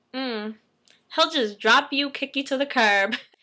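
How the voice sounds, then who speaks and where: Against a quiet background, a woman with a high pitch uses a raised, projected voice and lively intonation at a moderate pace. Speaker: fashion vlogger. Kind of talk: casual vlog talk. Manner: chatty, animated. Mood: playful, upbeat. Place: home room. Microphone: webcam.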